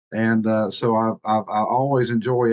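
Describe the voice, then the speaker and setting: The sound is dry and close with no echo as a man speaks in a Tennessee accent at a medium pitch with fairly even intonation. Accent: Southern US (Tennessee). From US South, Eastern Tennessee mountains. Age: 60s. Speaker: marketing director. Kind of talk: casual presentation on video call. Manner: halting, many fillers.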